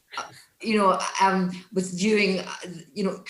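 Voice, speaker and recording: Audible room echo surrounds a speaker in a Glaswegian accent whose intonation is fairly even. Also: woman. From Scotland, Glasgow. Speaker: festival event host, crime writer and podcaster. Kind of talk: moderated panel discussion. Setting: online event. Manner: halting, many repetitions.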